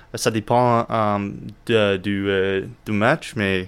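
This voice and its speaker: The speaker has an English accent. The intonation is fairly even. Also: man. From United States. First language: English (speaking French). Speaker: friend explaining the rules. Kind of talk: casual interview. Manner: halting.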